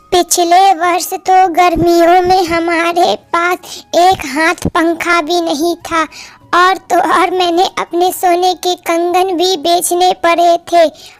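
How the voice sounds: A woman puts on a cartoonish character voice at an extremely high pitch, flat and monotone, at a very slow pace with hardly any pauses. Her loudness stays very even, and the sound is dry and close with no echo.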